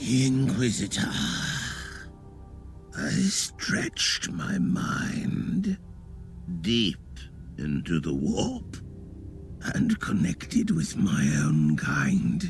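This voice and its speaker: A man uses a put-on character voice with a sinister tone, speaking very slowly with long, frequent pauses. Clear background noise runs underneath. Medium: video game. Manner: sinister, condescending.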